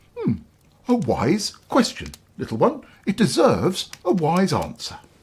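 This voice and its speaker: The pace is moderate. The speaker uses a put-on character voice. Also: man, high pitch for a man. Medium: read story. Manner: pompous, grunting.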